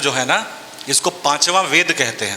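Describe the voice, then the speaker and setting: A man speaks with a Bihari accent. Noticeable background noise runs behind him. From Bhojpuri-speaking region, Bihar/eastern UP. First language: Bhojpuri (speaking Hindi). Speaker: actor and writer. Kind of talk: panel discussion at a book fair.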